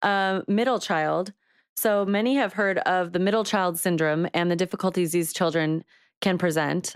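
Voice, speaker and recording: An unremarkable speaking voice with ordinary pitch variation, dry and close with no echo, on a very clean recording over a silent background. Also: woman. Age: 30s. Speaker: podcast co-host. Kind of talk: reading aloud; casual chat.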